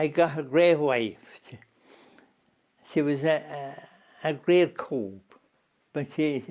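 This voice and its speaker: Speaking with an Irish Midlands accent, a man talks at a very slow pace with long, frequent pauses. His pitch is fairly high and his intonation fairly even. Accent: rural Irish Midlands. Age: 80s+. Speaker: interviewee. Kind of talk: interview. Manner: halting.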